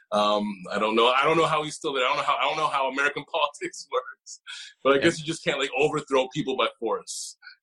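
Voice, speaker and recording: Very fast speech over music in the background. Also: man. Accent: Canadian. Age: 30s. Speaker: panelist. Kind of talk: panel discussion. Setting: video call.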